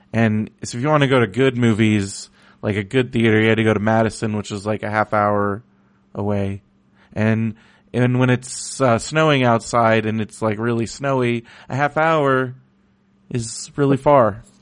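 At a moderate pace, a man speaks with fairly even intonation and a medium pitch in an ordinary speaking voice. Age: 30s. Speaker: podcast host. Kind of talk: casual chat.

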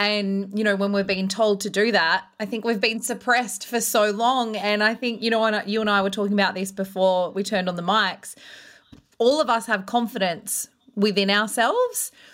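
This woman speaks at a moderate pace. Her medium pitch holds fairly even intonation. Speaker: confidence coach and former radio host. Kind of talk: interview conversation. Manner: confident, unfiltered.

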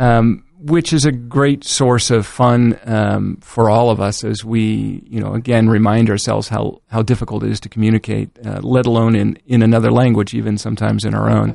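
A man at a moderate pace with hardly any pauses. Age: 40s. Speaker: physician. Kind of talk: interview. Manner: halting, many fillers.

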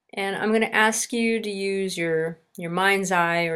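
With a plain, everyday voice, a woman talks at a medium pitch and a fairly slow pace, varying her pitch in an ordinary way. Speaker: wellness podcast host and body-awareness guide. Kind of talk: guided meditation (body scan), spoken gently as instructions. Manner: slow, calm, soothing, with pauses between instructions; soft-spoken and reassuring.

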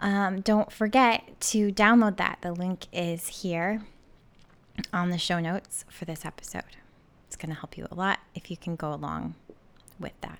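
Heard in a very clean recording with a silent background, a woman with an unremarkable speaking voice talks at a medium pitch and fairly slow pace, with fairly even intonation and big swings in loudness. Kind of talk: guided meditation. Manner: slow, soothing, calm and gentle, with deliberate pauses between instructions.

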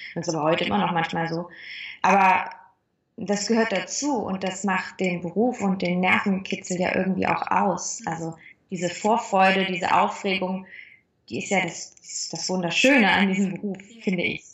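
In a room with audible echo, a woman's somewhat breathy voice holds a fairly even intonation. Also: medium pitch for a woman, moderate pace. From western Germany, near Cologne. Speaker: actress. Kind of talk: interview. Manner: cheerful.

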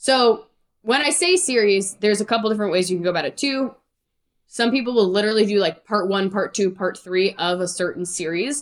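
An energetic woman's voice at a medium pitch, with ordinary pitch variation and a fairly quick pace. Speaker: music career coach. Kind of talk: interview. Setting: video call. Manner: fast.

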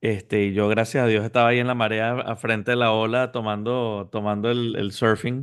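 A man talks in a monotone, flat voice with hardly any pauses. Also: medium pitch for a man, moderate pace. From Venezuela. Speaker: entrepreneur and business coach. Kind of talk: interview.

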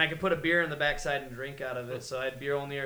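Fairly high male voice with ordinary pitch variation, against noticeable background noise. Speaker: podcast co-host. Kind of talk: casual banter, drunken comedy chat.

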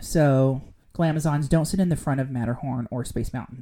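Here is a woman with an American accent. Her tone is dark and mellow. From Southern California. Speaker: podcast co-host. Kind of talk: casual chat.

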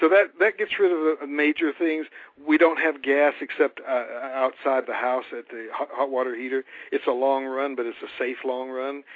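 At a moderate pace, a fairly high-pitched man talks, his pitch varying in an ordinary way. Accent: North Carolina. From North Carolina, US South. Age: old. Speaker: radio talk show host. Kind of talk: casual interview. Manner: casual, many fillers, slurred words.

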